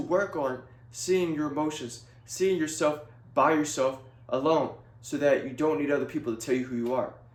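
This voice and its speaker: A man talks at a moderate pace with a fairly high pitch. Audible room echo is present. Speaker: video blogger. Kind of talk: casual monologue to camera. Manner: monotone; halting, many fillers.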